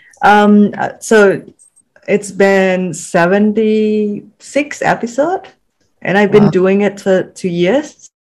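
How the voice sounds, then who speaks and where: A woman's medium-pitched voice in a Vietnamese accent, very slow, with ordinary pitch variation. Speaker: podcast host and writer. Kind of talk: interview. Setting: video call.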